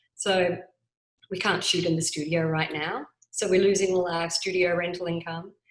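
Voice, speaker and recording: Speaking at a moderate pace with an Australian accent, a woman keeps her fairly low voice monotone and flat. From Australia, Adelaide. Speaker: business owner. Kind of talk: interview.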